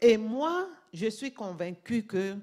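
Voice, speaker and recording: A woman with a non-native accent speaks at a very slow pace in a medium-pitched voice. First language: not French (speaking French). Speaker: pastor. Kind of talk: sermon. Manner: halting.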